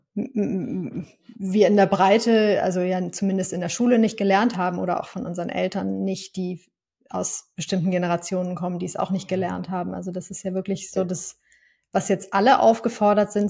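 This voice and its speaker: On a very clean recording with a silent background, a woman with a medium pitch and a somewhat breathy voice speaks at a moderate pace with fairly even intonation. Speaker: podcast host. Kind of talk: interview conversation. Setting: studio.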